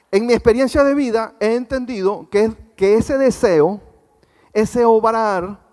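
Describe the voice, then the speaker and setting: Speaking at a fairly slow pace, a man uses a high voice with ordinary pitch variation. His loudness stays very even throughout. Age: 60s. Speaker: guest pastor. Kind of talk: sermon. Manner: conversational, asks congregation questions.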